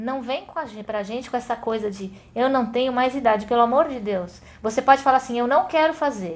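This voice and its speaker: A woman's high-pitched, animated voice at a fairly quick pace, with ordinary pitch variation and big swings in loudness. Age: 50s. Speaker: adventure sports instructor. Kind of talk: casual chat.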